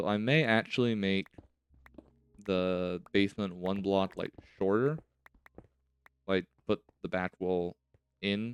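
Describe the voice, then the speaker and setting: A man talks in a fairly low pitch with fairly even intonation. Music plays in the background, and the sound is dry and close with no echo. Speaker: gaming youtuber. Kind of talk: gameplay commentary.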